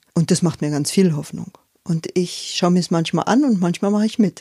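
This woman has a fairly low pitch and a dark, mellow, somewhat breathy tone. The sound is dry and close with no echo, on a very clean recording with a silent background. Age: 50s. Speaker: forest educator and workshop leader. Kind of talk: interview. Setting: at her home.

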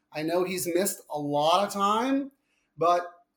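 A man speaks in a Long Island accent. His pitch is high. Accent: Long Island, New York. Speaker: podcast guest, horse racing handicapper. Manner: casual, conversational, frequent filler words.

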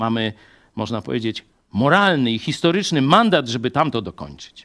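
The voice swings very widely in pitch, with vocal fry and long, frequent pauses, at a moderate pace. The recording is very clean, with a silent background. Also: man. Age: 50s. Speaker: pastor. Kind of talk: sermon.

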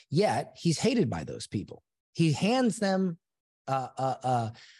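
Somewhat breathy and dark, mellow in tone, a man with an American accent swings his pitch very widely. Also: quiet background. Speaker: entrepreneur and author. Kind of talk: interview.

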